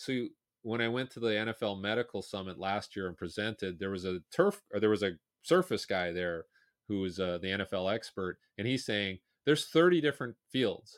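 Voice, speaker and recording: A man's fairly low-pitched normal speaking voice with ordinary pitch variation and a fairly quick pace, in a very clean recording with a silent background and a dry, close sound with no echo. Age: 50s. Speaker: sprint coach. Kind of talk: casual chat.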